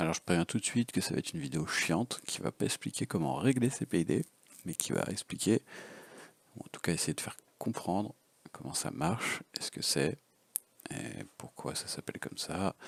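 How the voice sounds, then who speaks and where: Using a very deep, low pitch with vocal fry and very wide pitch swings, a man talks at a moderate pace with long, frequent pauses in a dry, close sound with no echo. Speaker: FPV drone hobbyist. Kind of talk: casual unscripted tutorial.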